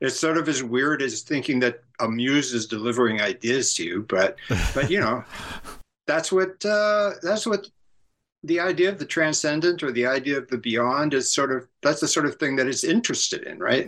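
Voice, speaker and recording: A man with an American accent talks at a moderate pace in a fairly high voice with lively intonation. It is an ordinary speaking voice. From San Francisco area. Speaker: author and cultural critic. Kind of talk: interview.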